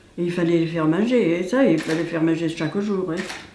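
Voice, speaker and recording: Against noticeable background noise, a woman speaks at a fairly low pitch. Her pace is moderate and her intonation fairly even. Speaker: village resident. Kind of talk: interview answer. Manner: casual, reminiscing.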